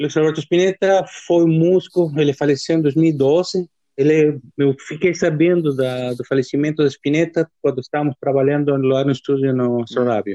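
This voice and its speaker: With a Spanish accent, a man speaks at a moderate pace in a dark, mellow tone, his pitch fairly high and his intonation fairly even, in a dry, close sound with no echo. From Argentina (Dolores, Buenos Aires province). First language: Spanish (speaking Portuguese). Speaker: musician and music professor. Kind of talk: casual interview.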